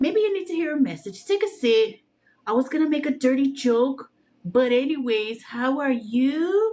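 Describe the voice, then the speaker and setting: Speaking in a strong Mexican accent, a woman uses a playful, dark, mellow tone at a high pitch with very wide pitch swings. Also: moderate pace. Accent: heavy Mexican accent when speaking normally. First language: Spanish. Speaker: tarot reader livestreamer. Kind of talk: casual livestream chat with viewers. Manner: playful, uses funny put-on voices.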